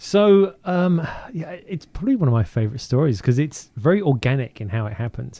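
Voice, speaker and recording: With a British accent, a man speaks at a moderate pace in a dark, mellow tone with lively intonation. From southern England (Woking, Surrey). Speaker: DJ. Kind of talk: casual interview. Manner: halting, many fillers.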